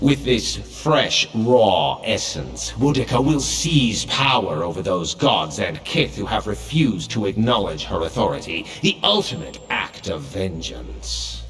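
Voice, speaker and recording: A man puts on a cartoonish character voice with a very deep, low pitch. He speaks at a fairly slow pace over clear background noise. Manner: wry, scornful.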